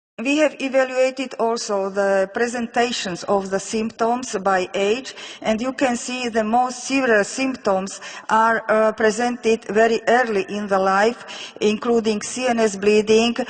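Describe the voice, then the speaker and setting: Speaking with a Slovak accent, a woman keeps a fairly high pitch and fairly even intonation, moving at a fairly slow pace with hardly any pauses over noticeable background noise. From Slovakia. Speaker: physician researcher. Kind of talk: lecture. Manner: halting.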